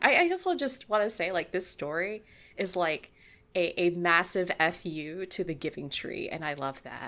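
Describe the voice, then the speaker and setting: In an ordinary speaking voice, a woman talks at a moderate pace and medium pitch. The recording is very clean, with a silent background. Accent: American. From California. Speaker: podcaster and writer. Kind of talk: casual chat.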